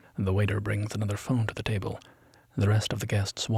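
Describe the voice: Someone reads the text out in a plain manner.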